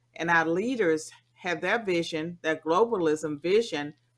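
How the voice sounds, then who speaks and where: A woman with a Southern US accent and a fairly low pitch talks at a fairly slow pace with ordinary pitch variation on a very clean recording with a silent background. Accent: Southern American. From US South, rural. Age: 60s. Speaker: political scientist. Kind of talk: interview.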